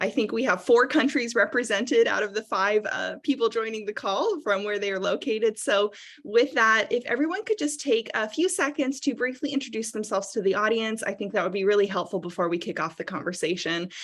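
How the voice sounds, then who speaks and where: With a strong American accent, a woman speaks at a fairly high pitch and fairly quick pace, with lively intonation and hardly any pauses. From United States. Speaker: strategic advisor and moderator. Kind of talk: panel discussion. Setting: video call.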